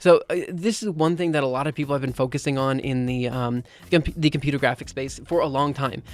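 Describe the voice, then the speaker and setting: A man speaks at a fairly quick pace with a fairly high pitch and ordinary pitch variation. The recording is very clean, with a silent background. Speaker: streamer. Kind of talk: live stream casual chat. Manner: fast; animated.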